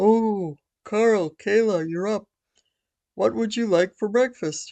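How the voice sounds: This is a put-on character voice with a female-sounding voice. It has a fairly high pitch and moves at a fairly slow pace.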